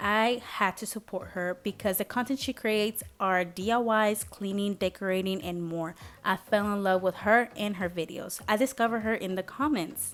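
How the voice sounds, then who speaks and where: In a very clean recording with a silent background, a woman with a Spanish accent speaks at a moderate pace and medium pitch, her pitch varying in an ordinary way and hardly any pauses between words. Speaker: lifestyle vlogger. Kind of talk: vlog voiceover narration.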